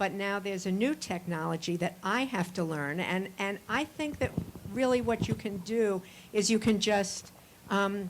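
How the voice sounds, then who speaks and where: A woman's medium-pitched, unremarkable speaking voice at a moderate pace, with ordinary pitch variation. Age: 60s. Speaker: audience member, newspaper founder and CEO. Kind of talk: conference audience discussion.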